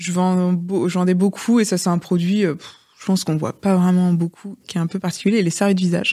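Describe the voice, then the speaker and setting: A woman speaks fairly quickly at medium pitch in a dark, mellow tone. Her intonation is monotone and flat, and the background is quiet. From Rennes, Brittany, France; Brittany, France. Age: 30s. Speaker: entrepreneur, former nurse; podcast guest. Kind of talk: interview conversation. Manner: hesitant, many fillers. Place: studio. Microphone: studio mic.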